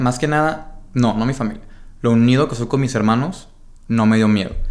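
Audible room echo surrounds a man speaking at a medium pitch with a Mexican accent. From Mexico, Baja California Sur (Los Cabos). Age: 20s. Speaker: marketing director. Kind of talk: casual interview chat.

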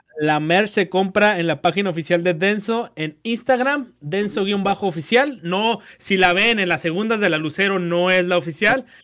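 Bright and sharp in tone, this man's voice sits at a high pitch with ordinary variation. He talks at a fairly slow pace. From Mexico, Ciudad Juárez. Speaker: podcast co-host. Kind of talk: casual chat.

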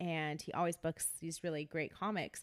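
Heard in a very clean recording against a silent background, the speech moves at a moderate pace with fairly even intonation. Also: woman. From California, San Jose area. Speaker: comedian. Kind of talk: casual chat.

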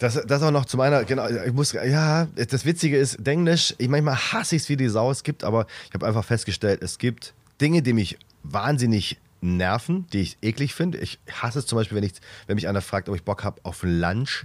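A normal speaking voice moves at a fairly quick pace with lively intonation on a very clean recording with a silent background. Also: man, medium pitch for a man. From Swabia, Reutlingen. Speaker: comedian, podcast co-host. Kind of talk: casual chat.

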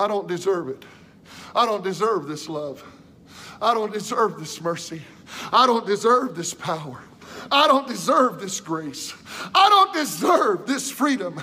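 A quiet, strained, female-sounding put-on character voice at medium pitch for a woman, moderate in pace, with long, frequent pauses. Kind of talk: preaching, sermon-like. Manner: quiet, restrained, earnest.

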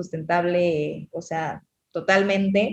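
Here is a woman talking. Her intonation is monotone and flat. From Mexico, Cancún. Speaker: underwater photographer and filmmaker. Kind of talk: interview. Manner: halting, many fillers.

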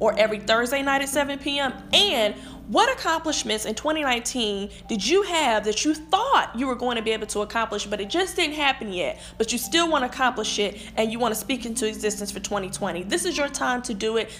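Over noticeable background noise, a woman talks at a fairly quick pace in a high voice with lively intonation and hardly any pauses. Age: 20s. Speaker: podcast host, HR representative. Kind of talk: solo podcast monologue.

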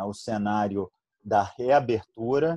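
Against a quiet background, a man with a Rio de Janeiro accent speaks in a dark, mellow tone at a medium pitch with ordinary pitch variation. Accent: carioca. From Rio de Janeiro, Brazil. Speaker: infectious disease physician. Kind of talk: online panel discussion.

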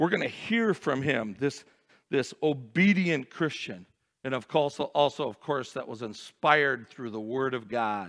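A man's normal speaking voice at medium pitch, lively in intonation and fairly slow, on a very clean recording with a silent background. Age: 50s. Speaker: pastor. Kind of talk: sermon. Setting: church.

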